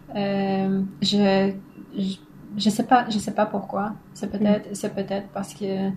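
Somewhat breathy and at a medium pitch, a woman speaks at a very slow pace in a monotone, flat way with hardly any pauses. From northern Poland. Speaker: philosopher, doctoral researcher. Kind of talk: casual interview. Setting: at home.

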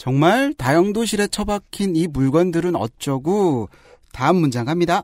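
Speaking at a fairly slow pace with lively intonation, the voice comes through on a very clean recording with a silent background and a dry, close sound with no echo. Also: man, high pitch for a man. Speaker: podcast host and producer.

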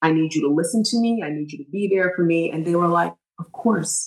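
A woman has an ordinary speaking voice with a fairly low pitch and fairly even intonation. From Trinidad and Tobago, raised in New York State. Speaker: lawyer and crisis management consultant. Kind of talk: interview.

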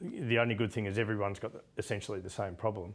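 This man speaks with an Australian accent at a fairly low pitch. His pace is fairly quick. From Australia, Melbourne. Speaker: business executive and yachtsman. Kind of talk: interview. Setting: yacht club.

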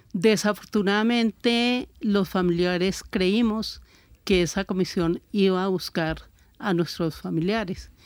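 A plain, everyday voice speaks at a fairly slow pace with ordinary pitch variation. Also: woman. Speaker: victims' family advocate. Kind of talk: radio panel discussion.

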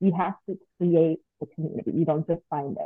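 In a normal speaking voice with an American accent, a woman speaks fairly low in pitch at a moderate pace with fairly even intonation. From Long Beach, California. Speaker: postpartum doula. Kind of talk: casual interview chat.

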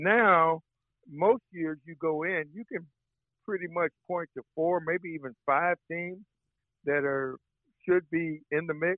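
A man speaks very slowly with long, frequent pauses, his high voice fairly even in intonation but swinging widely in loudness. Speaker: sports journalist. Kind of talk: casual interview.

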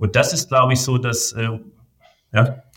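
A man is speaking. The very clean recording has a silent background. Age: 40s. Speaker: business association president and management consultant. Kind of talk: interview. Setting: studio.

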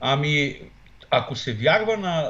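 Lively in intonation, a man speaks in a somewhat breathy voice. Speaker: political scientist. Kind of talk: political interview. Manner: hesitant, many fillers.

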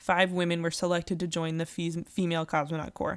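A woman speaks in an unremarkable speaking voice. Her pitch is fairly low and her pace fairly quick. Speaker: podcast host. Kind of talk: casual chat.

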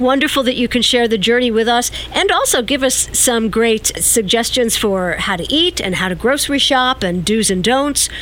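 Over noticeable background noise, a woman with a high pitch talks with lively intonation and hardly any pauses. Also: moderate pace. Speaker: radio host. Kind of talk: radio show presenting. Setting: studio.

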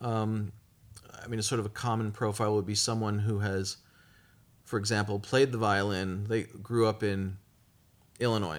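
At a moderate pace, a man with a fairly low pitch speaks in a monotone, flat intonation, leaving long, frequent pauses. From Brooklyn, New York. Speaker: orchestra conductor. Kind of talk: interview.

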